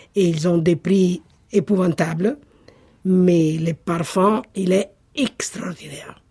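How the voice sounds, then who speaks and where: With an Italian accent, a woman speaks at a medium pitch with ordinary pitch variation and very even loudness. Her pace is very slow, broken by long, frequent pauses. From Italy, Marche (Sassoferrato). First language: Italian (speaking French). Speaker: Italian cooking enthusiast. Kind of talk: casual interview.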